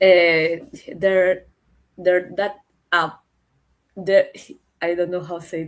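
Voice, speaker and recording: A woman's fairly low voice in a monotone, flat intonation, very slow pace, long and frequent pauses, and big swings in loudness. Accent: Spanish. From Chile. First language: Spanish. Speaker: author. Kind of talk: panel discussion. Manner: halting.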